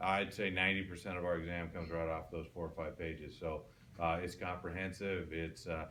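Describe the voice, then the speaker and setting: A man with a very deep, low pitch talks at a fairly quick pace in a bright, sharp tone. His intonation is monotone and flat, with audible room echo. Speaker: college anatomy and physiology instructor. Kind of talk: classroom lecture. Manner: casual, frequent fillers.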